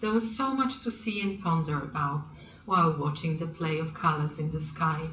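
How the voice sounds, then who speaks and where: Against noticeable background noise, a woman talks with a fairly low pitch and lively intonation. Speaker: grandmother who writes stories. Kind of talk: storybook reading, children's story.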